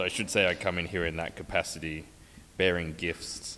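This man talks at a moderate pace with a very deep, low pitch and a bright, sharp tone. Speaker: guest lecturer. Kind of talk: lecture. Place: hall.

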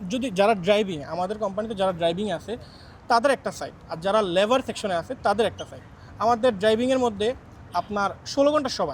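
A high-pitched male voice with ordinary pitch variation and big swings in loudness. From Bangladesh, Cumilla district. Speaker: migrant company driver. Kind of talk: interview.

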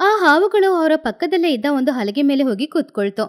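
The speaker talks at a fairly quick pace in a slightly mellow tone, with big swings in pitch. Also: woman.

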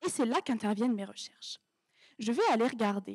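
Over a quiet background, a woman talks in an animated tone at a high pitch. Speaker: doctoral student contestant; candidate. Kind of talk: humorous thesis pitch. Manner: humorous, animated. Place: stage. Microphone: handheld.

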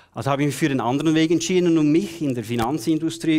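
A man's animated voice at a fairly quick pace over a quiet background. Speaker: keynote speaker and coach; keynote speaker, coach. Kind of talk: keynote speech. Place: stage. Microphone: headset.

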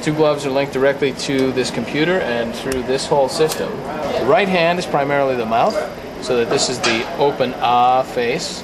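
Amid loud background noise, a man talks at a moderate pace with ordinary pitch variation. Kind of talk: demonstration explanation. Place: hall. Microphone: headset.

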